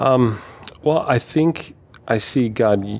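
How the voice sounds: A man speaks with an American accent.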